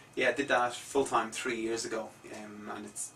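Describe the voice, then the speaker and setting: Intonation stays monotone and flat throughout. Noticeable background noise sits under the voice. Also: man. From Ireland, Dublin. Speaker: musician. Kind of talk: radio interview. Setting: radio studio.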